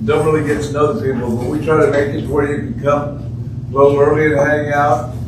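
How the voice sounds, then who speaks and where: Noticeable background noise and audible room echo accompany speech at a moderate pace. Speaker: pastor. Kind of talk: sermon. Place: home room. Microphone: camera far.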